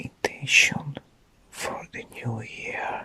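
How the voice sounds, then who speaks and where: Whispering over noticeable background noise. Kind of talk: ASMR whispered talk about new year intentions. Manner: whispered, soft.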